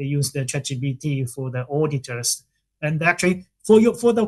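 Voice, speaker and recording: The speaker is a man. He talks with lively intonation. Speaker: professor, conference presenter. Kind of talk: academic Q&A. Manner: very fast.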